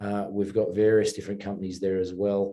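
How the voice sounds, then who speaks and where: A man with an Australian accent talks at a fairly quick pace against a quiet background, his fairly low, dark and mellow voice staying monotone and flat. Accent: Australian, kept. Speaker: mining company chairman and investor. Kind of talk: interview.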